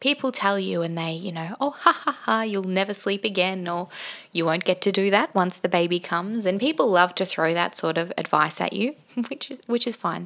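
A woman with an Australian accent, medium pitch and lively intonation, at a moderate pace on a very clean recording with a silent background. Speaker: podcast host, mother. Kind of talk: personal monologue on mental health.

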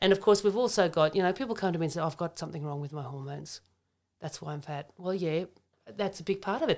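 In an Australian accent, the speaker shows ordinary pitch variation in a very clean recording with a silent background. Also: woman. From Germany, raised in Australia. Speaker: naturopath and functional medicine practitioner. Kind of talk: casual health chat. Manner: animated.

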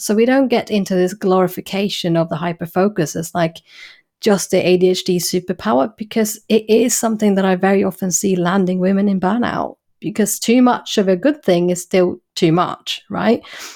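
Recorded very cleanly against a silent background, a woman with an English accent talks at a moderate pace and medium pitch with ordinary pitch variation. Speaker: clinical psychologist. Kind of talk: interview.

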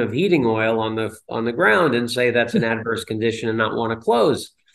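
With an American accent, a man speaks at a medium pitch. His is a plain, everyday voice. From northern New Jersey. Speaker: commercial real estate broker. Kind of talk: interview.

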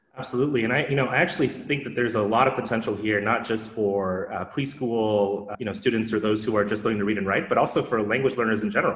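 Over noticeable background noise, someone talks at a very fast pace with fairly even intonation. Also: man, medium pitch for a man. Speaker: podcast host and moderator. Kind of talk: casual interview chat.

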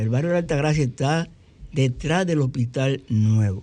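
Speaking with a Dominican accent, a man has a dark, mellow tone at medium pitch with ordinary pitch variation.

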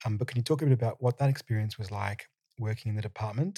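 A man with an Australian accent, somewhat breathy and dark, mellow in tone, with fairly even intonation and a dry, close sound with no echo. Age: 30s. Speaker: podcast host. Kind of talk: interview. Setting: studio.

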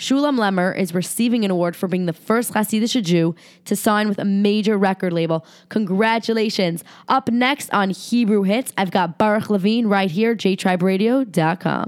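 Recorded very cleanly with a silent background, a woman uses an ordinary speaking voice at a medium pitch, with ordinary pitch variation, a moderate pace and very even loudness.

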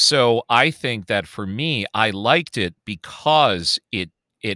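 With an American accent, a man speaks very slowly at a fairly low pitch, his tone bright and sharp and his intonation lively, in a very clean, silent recording that is dry and close with no echo. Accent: Chicago accent only when drunk. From Chicago. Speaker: podcast co-host. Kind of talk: casual chat.

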